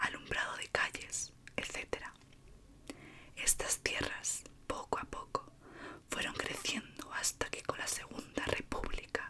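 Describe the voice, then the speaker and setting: A whisper moves at a very slow pace beneath noticeable background noise. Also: woman. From Spain, Madrid. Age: 20s. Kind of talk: ASMR horror story reading. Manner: soft-spoken, slow.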